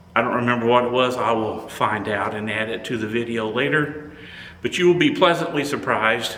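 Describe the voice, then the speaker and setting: There is noticeable background noise and audible room echo as a man talks at a medium pitch and a moderate pace. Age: 70s. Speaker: photography YouTuber. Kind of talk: product review. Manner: halting.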